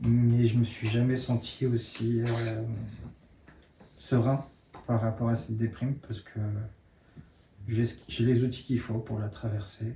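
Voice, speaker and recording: A man speaks very slowly in a somewhat breathy, monotone voice with flat intonation and long, frequent pauses. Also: medium pitch for a man. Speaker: workshop participant. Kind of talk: sharing circle. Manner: halting.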